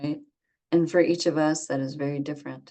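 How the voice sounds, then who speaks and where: This woman's voice has a very deep, low pitch. She talks in a monotone, flat intonation. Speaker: meditation teacher. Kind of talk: dharma talk; guided meditation. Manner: slow.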